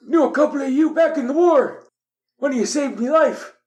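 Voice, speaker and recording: A man's put-on character voice at an extremely high pitch and a fairly quick pace. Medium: actual play. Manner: folksy.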